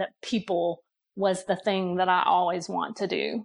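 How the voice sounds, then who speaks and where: Over a quiet background, a woman with an American accent and an unremarkable speaking voice talks at a moderate pace and a medium pitch. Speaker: human resources director. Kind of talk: casual chat.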